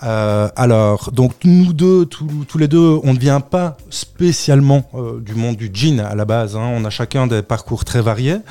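A man with a medium pitch talks at a very slow pace, showing ordinary pitch variation and hardly any pauses. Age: 30s. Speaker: drinks brand founder. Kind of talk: interview. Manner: hesitant, many fillers.

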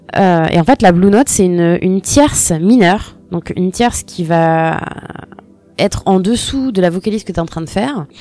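Medium in pitch, this is a woman's voice. She speaks at a moderate pace. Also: ordinary pitch variation. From Normandy, France. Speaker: singer and former radio intern. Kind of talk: interview. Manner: halting.

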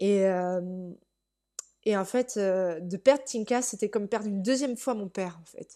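A woman with a dark, mellow tone speaks at medium pitch and a fairly slow pace, with ordinary pitch variation and big swings in loudness, over a quiet background. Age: 30s. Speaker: primary school teacher, horse owner. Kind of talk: interview testimony.

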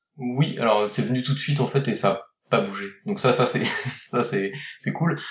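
Using a plain, everyday voice, a man speaks fairly slowly at a medium pitch with lively intonation. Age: 40s. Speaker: board game designer and publisher. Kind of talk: interview.

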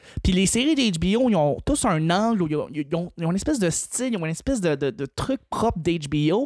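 A man's high voice with very wide pitch swings at a moderate pace, hardly any pauses, and noticeable background noise. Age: 20s. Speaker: podcaster. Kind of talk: casual chat.

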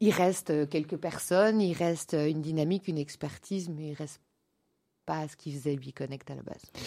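A woman with a very deep, low pitch and a dark, mellow tone speaks at a fairly quick pace, with ordinary pitch variation and big swings in loudness, on a very clean recording with a silent background. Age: 40s. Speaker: eco-entrepreneur, founder of a conscious business community. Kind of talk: interview. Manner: animated.

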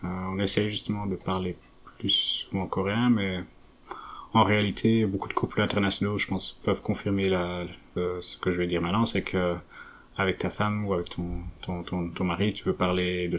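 Monotone, flat intonation at a moderate pace. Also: man. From Belgium, Flanders (French-speaking family). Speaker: researcher. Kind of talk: interview. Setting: at home. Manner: halting, with many fillers and repetitions.

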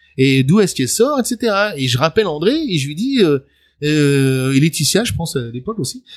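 This man's voice sits at a fairly high pitch and swings very widely up and down. His delivery is somewhat breathy. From Paris suburbs, Seine-Saint-Denis (France). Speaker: journalist and author. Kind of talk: interview. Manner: hesitant, many fillers.

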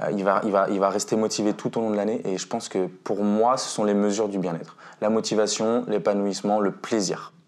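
In a monotone, flat delivery, a man with a fairly low pitch speaks at a fairly quick pace. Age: 20s. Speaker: mental coach and basketball instructor. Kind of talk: interview. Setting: at the guest's home.

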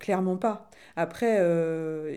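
A woman speaks in a dark, mellow tone at a fairly low pitch, with fairly even intonation and audible room echo. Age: 40s. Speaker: interviewee. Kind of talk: testimony.

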